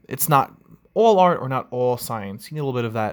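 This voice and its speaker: A man talks with lively intonation. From New York, Long Island. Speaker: podcast host, coffee industry worker. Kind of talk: casual solo podcast monologue.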